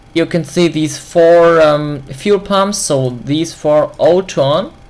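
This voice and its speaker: Very slow pace over noticeable background noise. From Germany. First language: German. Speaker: flight simulator video creator. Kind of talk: tutorial. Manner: halting.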